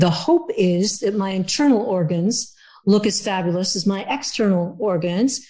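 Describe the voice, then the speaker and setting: Somewhat breathy with a dark, mellow tone, a woman at medium pitch talks at a moderate pace with ordinary pitch variation. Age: 70s. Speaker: cookbook author. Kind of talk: podcast interview.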